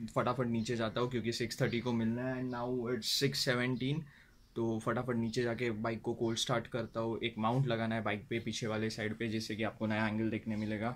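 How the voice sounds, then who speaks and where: A man talks at a moderate pace with hardly any pauses. His intonation is monotone and flat. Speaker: moto vlogger. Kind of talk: casual vlog chat. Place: home room. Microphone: phone near.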